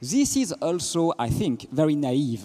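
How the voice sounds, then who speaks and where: With a French accent, a man speaks in a dark, mellow tone, his pitch swinging very widely. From France. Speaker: physicist and philosopher. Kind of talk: panel talk.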